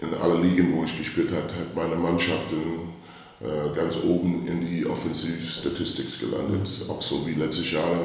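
Very deep, low-pitched man with monotone, flat intonation at a moderate pace, noticeable background noise around him. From US Midwest, St. Louis, Missouri. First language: English (speaking German). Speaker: basketball coach. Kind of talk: interview. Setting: reverberant room. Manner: halting. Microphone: echo.

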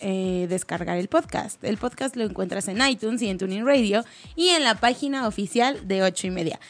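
Over music in the background, a woman speaks at a moderate pace with an animated tone and lively intonation. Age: young. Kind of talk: casual chat.

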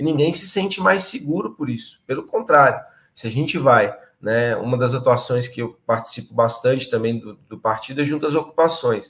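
Big swings in loudness run through a man's plain, everyday voice, which sits at medium pitch with ordinary variation. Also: moderate pace. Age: 30s. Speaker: political candidate and activist. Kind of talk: political interview. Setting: live stream.

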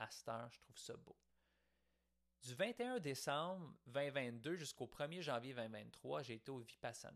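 The speaker moves at a very slow pace with ordinary pitch variation. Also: man. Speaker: podcaster. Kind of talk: reflective monologue. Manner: casual, conversational.

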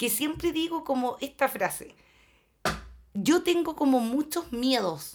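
With a Chilean accent, the speaker goes at a very slow pace with lively intonation and long, frequent pauses. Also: woman, high pitch for a woman. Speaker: podcast co-host. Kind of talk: casual chat.

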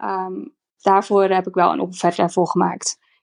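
Against a quiet background, a woman talks at a very slow pace, the sound dry and close with no echo. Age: 30s. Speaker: former reality TV contestant, interior stylist. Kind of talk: casual interview.

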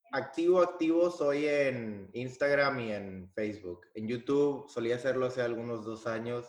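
A man's medium-pitched voice in a northern Mexican accent, fairly slow, with ordinary pitch variation, hardly any pauses and audible room echo. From Mexico, Piedras Negras, Coahuila. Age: 20s. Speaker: singer and engineer. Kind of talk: interview.

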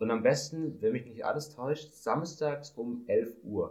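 The man's voice sounds somewhat breathy. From Swabia, Germany. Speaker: podcast co-host, student. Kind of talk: casual chat.

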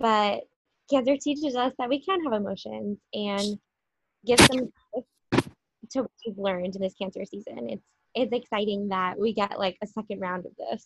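A woman's plain, everyday voice at a medium pitch with ordinary pitch variation, a moderate pace and big swings in loudness. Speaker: podcast host. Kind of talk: casual chat with astrology talk.

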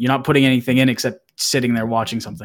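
In a plain, everyday voice with an American accent, the speaker holds a fairly even intonation. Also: man. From Massachusetts. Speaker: Twitch streamer. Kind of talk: casual chat.

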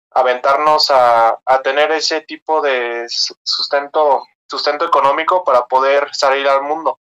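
Bright and sharp in tone, a man talks at a fairly slow pace with a fairly high pitch and monotone, flat intonation, recorded dry and close with no echo. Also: hardly any pauses. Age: 20s. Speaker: engineering student and crypto investor. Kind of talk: casual interview. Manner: halting.

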